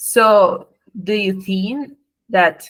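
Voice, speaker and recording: A woman speaks at a very slow pace in a somewhat breathy voice. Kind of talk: sales roleplay practice.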